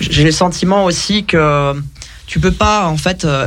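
Against noticeable background noise, a man talks with a fairly high pitch. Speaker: radio show co-host. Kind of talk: casual chat. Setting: studio.

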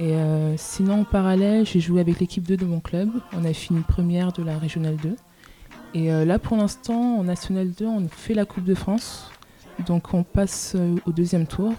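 Her pitch is fairly low and her intonation fairly even. The woman keeps a moderate pace, with long, frequent pauses. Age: 20s. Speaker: student volleyball player. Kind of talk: radio interview.

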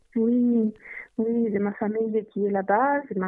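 Speaking with a Greek accent, a woman takes a fairly slow pace. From Greece, Athens. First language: Greek (speaking French). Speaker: interviewee from Greece. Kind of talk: casual interview. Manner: halting.

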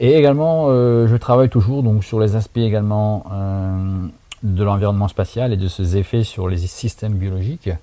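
There is noticeable background noise. The pace is moderate, and pitch variation is ordinary. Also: man, fairly low pitch for a man. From France, Haute-Marne (Saint-Dizier). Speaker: NASA research scientist. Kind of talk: recorded interview answers. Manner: halting, many fillers.

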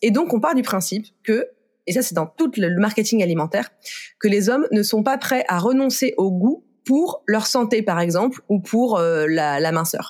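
A woman talks at a fairly slow pace in a fairly high pitch, with very wide pitch swings and very even loudness, on a very clean recording with a silent background. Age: 30s. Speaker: author of a book on food and sexism. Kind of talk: podcast interview. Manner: casual, with frequent filler hesitations.

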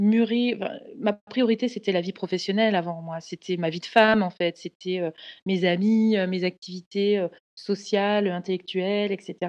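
The background is quiet, and the sound is dry and close with no echo. The pace is moderate, with fairly even intonation. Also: woman, medium pitch for a woman. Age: 30s. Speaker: career coach and entrepreneur. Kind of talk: personal testimony. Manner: halting, many fillers and repetitions.

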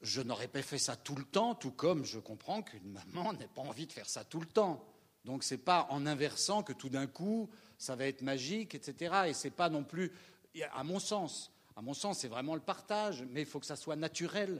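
A man with an ordinary speaking voice, fairly high in pitch, at a moderate pace and with lively intonation. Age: 60s. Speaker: stage actor. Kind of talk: post-show audience discussion. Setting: theatre with audience.

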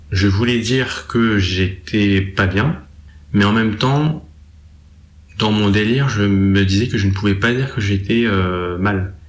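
Very slow and with long, frequent pauses, a man speaks at very even loudness and ordinary pitch variation, with audible room echo. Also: fairly low pitch for a man. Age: 20s. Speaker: young man with psychosis history. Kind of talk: testimony. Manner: halting.

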